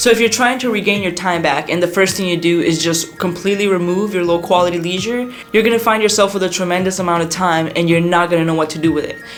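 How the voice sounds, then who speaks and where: The speech moves at a very fast pace with music in the background. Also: hardly any pauses. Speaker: music creator and YouTube educator. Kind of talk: motivational talk to camera. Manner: animated.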